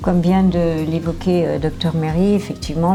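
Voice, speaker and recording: Fairly slow speech with audible room echo and music in the background. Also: woman. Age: 60s. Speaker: cancer patient. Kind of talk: testimony.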